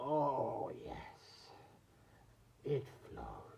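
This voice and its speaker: A man speaks in a put-on character voice that sounds raspy, with an audible echo. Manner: creepy, sinister.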